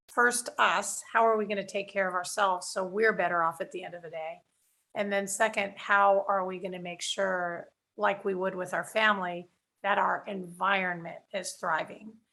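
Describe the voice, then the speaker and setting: A woman with an American accent and a normal speaking voice, medium in pitch, at a moderate pace, with fairly even intonation, big swings in loudness and a very clean recording with a silent background. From Texas. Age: 60s. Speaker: workshop teacher on communication. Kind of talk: interview conversation.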